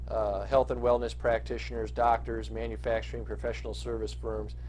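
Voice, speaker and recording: A man talks at a fairly quick pace in a very deep, low voice. Audible room echo surrounds the recording. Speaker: marketing consultant. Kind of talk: business pitch monologue. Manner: fast; halting with many fillers.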